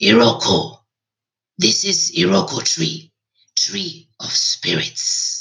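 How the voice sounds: In a raspy, put-on character voice, a man speaks very slowly with long, frequent pauses.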